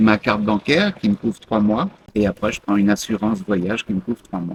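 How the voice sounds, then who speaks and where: A man's fairly low-pitched voice, dry and close with no echo. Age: 60s. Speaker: expatriate retiree. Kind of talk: interview. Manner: hesitant with many fillers.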